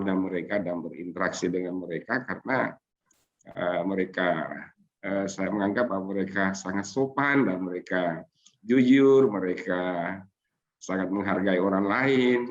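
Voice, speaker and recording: Speaking at a fairly slow pace, a man with a fairly low pitch uses ordinary pitch variation. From Sulawesi, Indonesia. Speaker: Islamic scholar and seminar speaker. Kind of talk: seminar talk. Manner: halting, many fillers.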